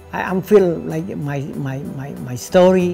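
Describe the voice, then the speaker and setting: A man speaks very slowly with a Cambodian accent while music plays clearly in the background. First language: Khmer. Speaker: kickboxing trainer. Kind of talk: interview answer. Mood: sad, reflective. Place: gym. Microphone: lapel.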